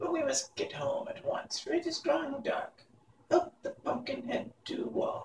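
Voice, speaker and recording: A man puts on a character voice with extremely high pitch. He speaks at a moderate pace. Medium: read story. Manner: sharp, scolding.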